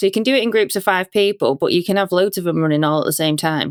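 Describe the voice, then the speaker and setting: A woman with a Yorkshire accent, medium pitch, and lively intonation, in a dry, close sound with no echo. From Yorkshire, northern England. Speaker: company founder, security awareness trainer. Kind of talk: podcast interview. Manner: casual, relaxed.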